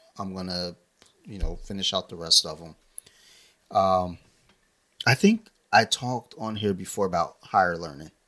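In a very clean recording with a silent background, a voice with an American accent and a bright, sharp tone moves at a moderate pace with ordinary pitch variation, big swings in loudness, and long, frequent pauses. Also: man, very deep, low pitch for a man. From Maryland, US (Howard County). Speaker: podcast co-host. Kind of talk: casual chat.

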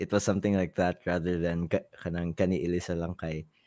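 This voice has a Visayan Filipino accent and comes from a very clean recording with a silent background. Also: man. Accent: Filipino (Cebuano) English. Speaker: musician and producer. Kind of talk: casual chat.

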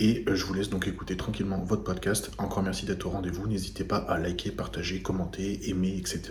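A man with a very deep, low voice talks at a fairly quick pace with fairly even intonation, and audible room echo surrounds him. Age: 30s. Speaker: podcast host and fitness coach. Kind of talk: casual chat; sponsor plug.

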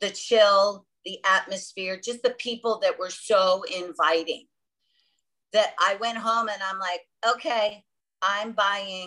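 A woman with an American accent has a bright, sharp tone. She speaks at a very slow pace. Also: medium pitch for a woman. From South Florida, born on Long Island. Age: 50s. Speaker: travel agent. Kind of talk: casual interview. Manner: animated.

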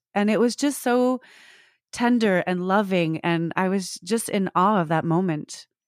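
A woman with a plain, everyday voice at a fairly slow pace with ordinary pitch variation, dry and close with no echo, in a very clean recording with a silent background. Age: 40s. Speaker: personal support worker and actor. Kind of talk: casual interview.

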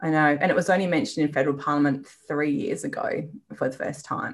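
A woman with an Australian accent talks with lively intonation. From Western Australia, rural. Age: 40s. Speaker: business owner and endometriosis patient. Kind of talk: interview, personal story.

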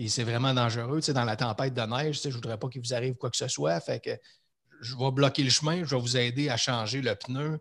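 At a fairly quick pace, a man speaks at a medium pitch with fairly even intonation and a somewhat breathy quality. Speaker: leadership coach. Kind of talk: casual interview conversation.

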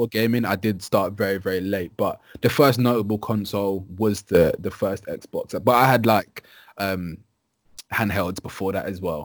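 A man's fairly low-pitched, plain, everyday voice with fairly even intonation at a moderate pace. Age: 20s. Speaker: gaming presenter and YouTuber. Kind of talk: casual chat.

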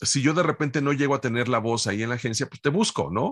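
A man's unremarkable speaking voice at medium pitch, with lively intonation and a fairly quick pace, in a dry, close sound with no echo over a quiet background. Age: 50s. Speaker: voice actor. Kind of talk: interview.

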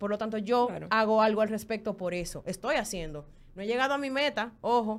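A woman speaks at a very fast pace. Her intonation is lively. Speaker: former podcast co-host. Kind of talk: casual chat.

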